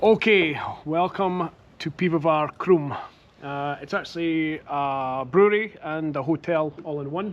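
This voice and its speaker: In a Scottish accent, a man speaks at a fairly slow pace with ordinary pitch variation. His voice is fairly high and swings a lot in loudness. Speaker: beer vlogger. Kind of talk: casual vlog chat. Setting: outdoor beer garden.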